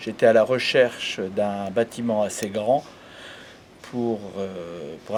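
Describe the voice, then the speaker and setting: A man speaks with a fairly low pitch. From northern France, Aisne area. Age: 60s. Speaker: embroidery business owner. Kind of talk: interview. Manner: halting.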